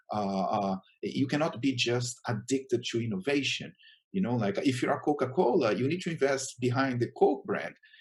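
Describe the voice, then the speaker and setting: This man speaks with a Brazilian Portuguese accent and lively intonation. His medium-pitched voice is somewhat breathy. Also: moderate pace. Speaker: chief marketing officer. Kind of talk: conference talk. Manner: hesitant, many fillers.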